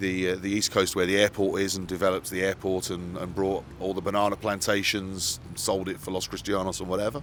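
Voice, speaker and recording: Speaking very fast in an English Midlands accent, a man keeps a fairly low pitch and monotone, flat intonation. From English Midlands, Solihull. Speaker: radio broadcaster and news publisher. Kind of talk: casual interview chat. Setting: outdoors by the ocean.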